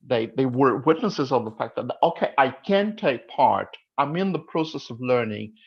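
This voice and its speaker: Someone speaks at a moderate pace with a Portuguese accent. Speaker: English teaching association representative. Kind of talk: panel discussion.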